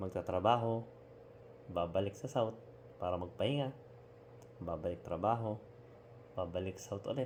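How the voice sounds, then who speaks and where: With a fairly low pitch and ordinary pitch variation, a man talks at a moderate pace, leaving long, frequent pauses. His voice sounds somewhat breathy. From Philippines. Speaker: overseas Filipino worker. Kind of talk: casual talk to camera. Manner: sincere, reflective.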